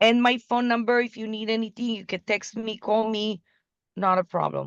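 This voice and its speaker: The speaker has an Israeli accent and a flat, monotone intonation. The sound is dry and close, with no echo. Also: woman, fairly high pitch for a woman, moderate pace. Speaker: business development partner. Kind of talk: business video call. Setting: video call.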